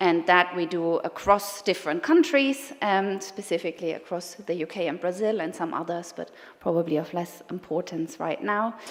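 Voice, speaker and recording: With a German accent, a woman with a fairly low pitch speaks at a moderate pace with ordinary pitch variation and hardly any pauses. Noticeable background noise runs behind her. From Germany. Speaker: sustainability consultant. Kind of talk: conference talk. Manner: hesitant, many fillers.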